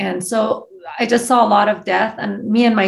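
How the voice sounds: A woman speaks at a moderate pace with fairly even intonation and vocal fry. Her voice carries an audible room echo.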